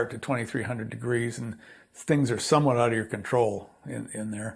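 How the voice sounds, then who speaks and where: Vocal fry runs through a man's medium-pitched voice as he talks at a fairly quick pace with fairly even intonation. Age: 70s. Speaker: potter and artist. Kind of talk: casual interview. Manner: halting, repeats words.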